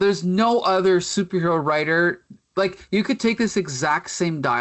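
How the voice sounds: With ordinary pitch variation, a natural reading voice comes through against a quiet background.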